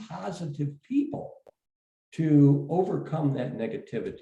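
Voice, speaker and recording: A man with a fairly high pitch speaks at a moderate pace in a dark, mellow tone with vocal fry. Audible room echo surrounds his voice. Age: 70s. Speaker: education executive. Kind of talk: interview. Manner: halting, many fillers and repeats.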